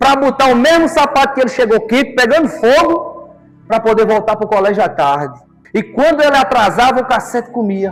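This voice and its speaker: Music plays behind a man whose extremely high pitch and lively intonation move at a moderate pace. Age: 30s. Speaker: lay preacher. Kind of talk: sermon.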